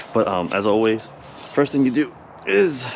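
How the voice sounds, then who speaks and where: A man's medium-pitched voice has ordinary pitch variation, with noticeable background noise behind it. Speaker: auto glass technician. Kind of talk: tutorial. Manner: casual.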